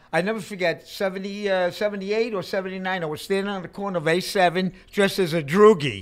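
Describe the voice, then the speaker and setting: A man speaks with a New York accent at a moderate pace, his pitch high with ordinary variation. The background is quiet. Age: 60s. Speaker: hardcore punk musician; podcast guest. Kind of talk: casual chat. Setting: in a bar. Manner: animated. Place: studio. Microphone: studio mic.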